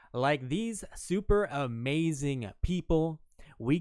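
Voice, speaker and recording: This is a man speaking. His pace is very slow. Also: very clean recording, silent background. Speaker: podcast host. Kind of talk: show intro and sub shout-outs; casual chat. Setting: live stream. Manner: upbeat.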